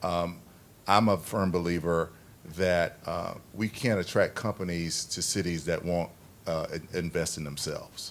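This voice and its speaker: Speaking slowly-ish with fairly even intonation, this man has a very deep, low pitch and a slight Southern US accent. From US South. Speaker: city official. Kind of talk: panel discussion. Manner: halting.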